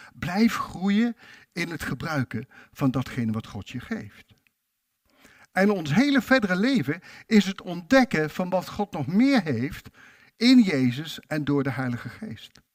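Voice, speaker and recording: Recorded dry and close with no echo, a man speaks very slowly in a high voice, with very wide pitch swings and big swings in loudness. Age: 60s. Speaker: preacher. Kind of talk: sermon.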